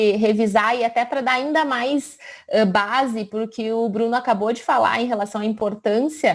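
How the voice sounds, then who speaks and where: Here is a woman with an ordinary speaking voice, pitched fairly high. She moves at a moderate pace with ordinary pitch variation. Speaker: physician. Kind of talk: lecture.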